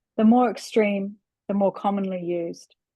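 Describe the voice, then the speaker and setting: Speaking in a New Zealand accent, a woman with a medium pitch and a dark, mellow tone talks at a fairly slow pace with ordinary pitch variation. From New Zealand, Auckland. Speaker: writer. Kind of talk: reading aloud.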